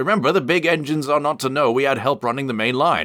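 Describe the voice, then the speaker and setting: A man puts on a character voice at a medium pitch. He talks very fast on a very clean recording with a silent background. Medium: read story.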